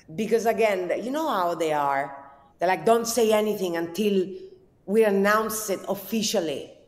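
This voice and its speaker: A woman's lively intonation at a moderate pace, with audible room echo. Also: medium pitch for a woman. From southern Italy. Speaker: cooking content creator. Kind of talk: casual interview chat.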